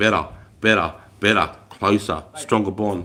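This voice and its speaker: On a very clean recording with a silent background, a man speaks loudly in an animated tone with an Australian accent. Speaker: army veteran livestreamer. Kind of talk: casual live stream chat.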